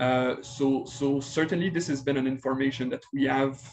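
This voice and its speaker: A man with a slight Quebec accent, fairly slow pace and fairly even intonation. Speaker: pediatric infectious disease physician. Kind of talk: webinar presentation and Q&A. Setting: online webinar. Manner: hesitant, many fillers.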